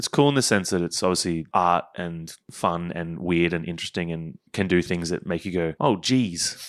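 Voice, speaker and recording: A man's very deep, low voice with an Australian accent over a quiet background. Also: ordinary pitch variation, moderate pace. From Queensland, Australia. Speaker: game producer. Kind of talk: casual chat.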